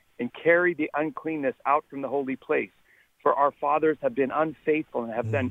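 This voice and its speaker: In a normal speaking voice with an American accent, a man talks at a fairly quick pace and fairly high pitch with ordinary pitch variation. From Texas. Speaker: caller. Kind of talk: casual chat. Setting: phone call.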